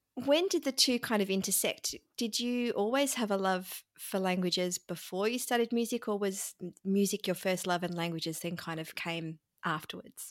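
A woman at medium pitch and moderate pace, lively intonation, dry, close sound with no echo, and a very clean recording with a silent background. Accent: Australian. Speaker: podcast co-host. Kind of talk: casual interview chat.

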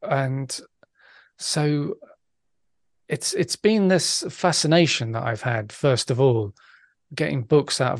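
The voice is somewhat breathy and moves at a fairly slow pace. The sound is dry and close with no echo. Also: man. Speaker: podcaster and bass player. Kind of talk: casual interview.

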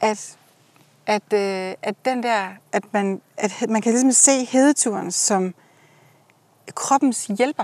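Speaking very slowly with long, frequent pauses, a woman uses a fairly high voice with ordinary pitch variation. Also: dry, close sound with no echo. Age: 40s. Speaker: host's friend. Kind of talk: casual chat. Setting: outdoors.

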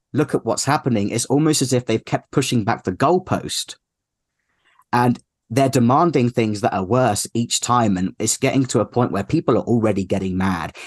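A man with a British accent talks at a fairly quick pace. The sound is dry and close with no echo, against a quiet background. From UK. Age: 30s. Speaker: activist. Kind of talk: interview.

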